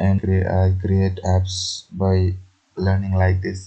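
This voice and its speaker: A man with a non-native accent speaks at a very slow pace. His very deep, low voice has a dark, mellow tone and is somewhat breathy. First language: not English. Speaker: programming tutorial youtuber. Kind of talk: tutorial. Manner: halting, many fillers.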